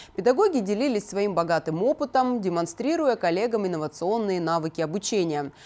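Talking at a fairly quick pace, a woman uses a medium pitch with very wide pitch swings. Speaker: news anchor. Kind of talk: news reading. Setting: studio.

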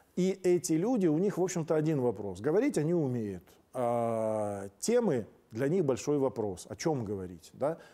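A dark, mellow tone at a moderate pace, with very wide pitch swings. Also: man, fairly high pitch for a man. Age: 50s. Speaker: political talk show host. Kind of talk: monologue commentary. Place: studio. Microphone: lapel.

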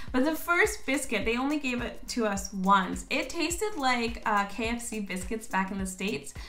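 Over faint background music, a woman speaks at a moderate pace. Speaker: vlogger. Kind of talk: casual vlog chat. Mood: animated, playful. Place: home room. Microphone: phone near.

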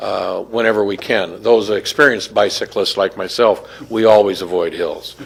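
Hardly pausing, a man keeps up a moderate pace with noticeable background noise around him. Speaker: community group spokesman. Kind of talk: public comment at council meeting. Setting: city council chamber. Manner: halting, many fillers.

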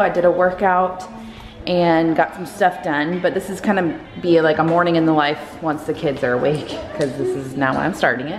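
Over faint background music, a woman speaks at a fairly low pitch. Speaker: parent vlogger. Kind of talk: casual vlog chat. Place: home room. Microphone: phone near.

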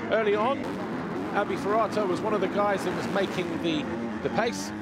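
A man is speaking. Music plays in the background. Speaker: race commentator. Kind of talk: race report voiceover recapping qualifying.

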